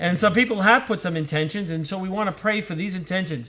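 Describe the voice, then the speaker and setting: A man talks loudly at a very fast pace. His voice is high, with lively intonation. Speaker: priest. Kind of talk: casual chat. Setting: live online broadcast.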